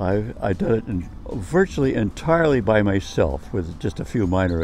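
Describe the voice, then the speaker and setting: Lively intonation marks this man's speech. Noticeable background noise runs underneath. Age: 90s. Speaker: community gardener. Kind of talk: informal speech to camera. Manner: halting, repetitive.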